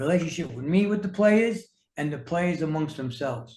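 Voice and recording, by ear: With audible room echo around him, a man speaks in a slightly mellow tone.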